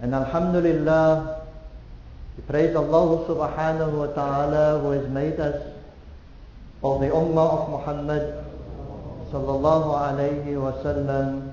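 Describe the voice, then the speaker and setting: Over light background noise and audible room echo, a man speaks at a moderate pace in a monotone, flat intonation, pausing long and often. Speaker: mosque preacher. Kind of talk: sermon. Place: church.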